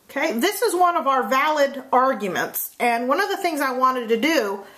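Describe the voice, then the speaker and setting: With audible room echo and noticeable background noise, a woman speaks at a high pitch and a moderate pace, her intonation lively. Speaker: math teacher. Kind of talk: lecture. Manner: casual with many fillers.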